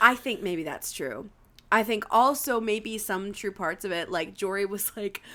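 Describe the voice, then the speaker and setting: An animated woman with an American accent, medium pitch, ordinary pitch variation, a bright, sharp tone and a fairly slow pace. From New Jersey, Warren County. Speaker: podcast co-host, actress. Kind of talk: casual chat.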